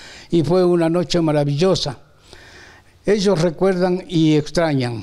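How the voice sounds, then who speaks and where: At a fairly slow pace, a man talks in a high-pitched voice. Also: ordinary pitch variation. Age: 80s+. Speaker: retired primary school teacher. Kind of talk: interview reminiscence. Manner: hesitant with many fillers.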